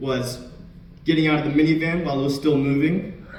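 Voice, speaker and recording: Through noticeable background noise, a man with a fairly high pitch speaks at a moderate pace. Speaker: stand-up comedian. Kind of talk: live stand-up comedy set. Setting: lecture hall, live audience.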